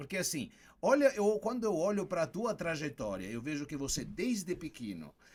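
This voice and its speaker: A man with vocal fry and very wide pitch swings. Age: 70s. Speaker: corporate wellbeing consultant. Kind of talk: interview.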